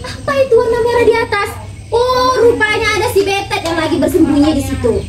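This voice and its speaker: Putting on a playful character voice, a woman speaks at a fairly quick pace and an extremely high pitch, with noticeable background noise behind her. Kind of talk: children's storytelling. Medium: read story. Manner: playful, giggling.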